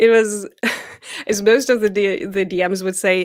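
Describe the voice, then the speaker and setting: Her German accent carries at a medium pitch as the woman speaks at a moderate pace. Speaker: professional dungeon master. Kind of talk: video interview.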